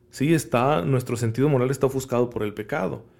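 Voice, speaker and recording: There is vocal fry as a man speaks at a fairly quick pace with ordinary pitch variation. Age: 30s. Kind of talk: homily-style podcast talk.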